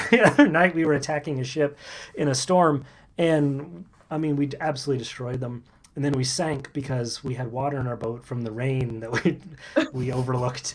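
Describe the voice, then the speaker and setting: A man with an American accent has a plain, everyday voice at medium pitch. His pitch varies in an ordinary way, and his pace is fairly quick. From US South, Kentucky. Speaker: live stream co-host. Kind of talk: casual chat.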